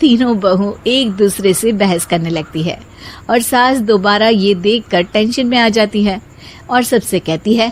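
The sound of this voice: A woman talks at a fairly slow pace. Her medium pitch shows ordinary variation.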